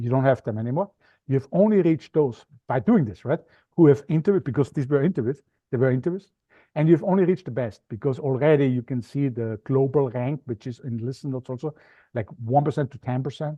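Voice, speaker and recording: Speaking very fast with an Austrian accent, a man keeps a medium pitch and ordinary pitch variation. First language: German. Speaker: media expert, podcast guesting coach. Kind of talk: interview. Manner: animated.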